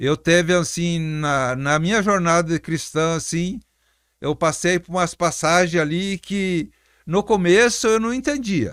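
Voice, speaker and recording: Over a silent background in a very clean recording, a man with a high pitch speaks at a fairly slow pace with ordinary pitch variation. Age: 70s. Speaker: pastor and former city councillor. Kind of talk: interview conversation.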